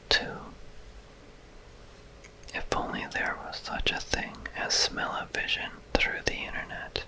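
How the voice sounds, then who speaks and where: Someone whispers in a calm tone at a very slow pace. Noticeable background noise runs underneath. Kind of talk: ASMR whispered reading. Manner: whispered, soft-spoken; slow, calm.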